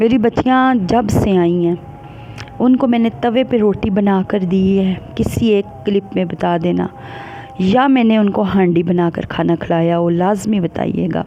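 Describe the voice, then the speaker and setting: Quiet and very even in loudness, a woman of medium pitch speaks at a very slow pace with ordinary pitch variation over noticeable background noise. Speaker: family vlogger. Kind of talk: casual vlog monologue. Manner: quiet, unable to speak loudly.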